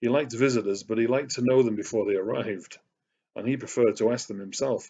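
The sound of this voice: With ordinary pitch variation, an unforced reading voice comes through over a quiet background.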